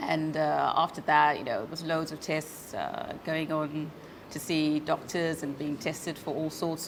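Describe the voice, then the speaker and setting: A woman talks at a moderate pace with a very deep, low pitch. Her intonation is monotone and flat, with noticeable background noise. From South Africa, Cape Town. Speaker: forensic accountant, arthritis patient. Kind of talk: interview testimony. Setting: video call. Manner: halting, many fillers.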